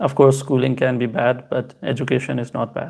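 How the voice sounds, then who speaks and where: With a non-native accent, a man speaks at a moderate pace and medium pitch in a monotone, flat delivery. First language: not Hindi. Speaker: crypto streamer. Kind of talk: live stream Q&A. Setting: live stream on two platforms. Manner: casual, halting with fillers.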